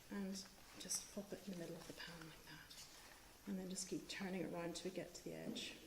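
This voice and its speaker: Amid audible room echo and noticeable background noise, a woman with a Northern Irish accent speaks at a medium pitch and a fairly quick pace in monotone, flat intonation. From Northern Ireland. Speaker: cookbook author. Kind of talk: cooking demonstration. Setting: live stream with in-studio host. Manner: hesitant, many ums.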